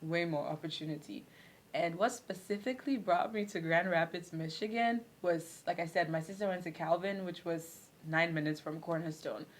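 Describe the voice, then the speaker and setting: A woman with a Ghanaian accent and a fairly low pitch speaks at a moderate pace with ordinary pitch variation. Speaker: former international student. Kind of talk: casual chat.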